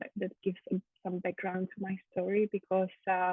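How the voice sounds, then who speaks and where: A woman's voice at medium pitch. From Czech Republic, Prague. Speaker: mother sharing birth stories. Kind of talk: interview testimony. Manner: halting, many fillers.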